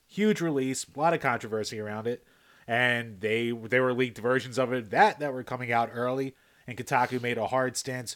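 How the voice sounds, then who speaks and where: In a normal speaking voice with ordinary pitch variation, the speaker goes at a moderate pace over a very clean recording with a silent background. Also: man, medium pitch for a man. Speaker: podcast co-host. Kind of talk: casual chat.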